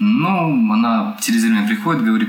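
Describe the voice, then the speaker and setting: A man with a high pitch talks at a moderate pace with ordinary pitch variation. Noticeable background noise and audible room echo fill the recording. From Ukraine, Kryvyi Rih. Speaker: saxophonist. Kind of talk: casual interview chat.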